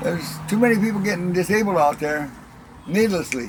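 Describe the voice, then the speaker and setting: Talking at a very fast pace with a rural Upper Midwest accent, a man uses ordinary pitch variation over noticeable background noise. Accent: rural Upper Midwest American. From rural Wisconsin. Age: 70s. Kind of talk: interview.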